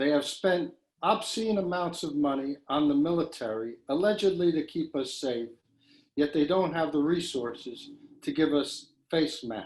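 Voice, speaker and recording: A man speaks in a normal speaking voice, his fairly high pitch moving with ordinary variation at a moderate pace. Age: 60s. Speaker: poet. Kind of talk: poetry reading.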